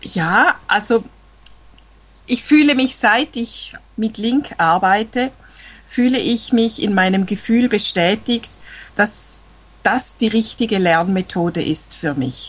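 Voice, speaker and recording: Speaking at a very slow pace with long, frequent pauses, a woman with a Swiss German accent uses lively intonation at a fairly high pitch, with vocal fry. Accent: Swiss German accent, clearly audible. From eastern Switzerland, near Lake Constance. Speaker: language learner. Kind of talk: casual chat. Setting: Skype call.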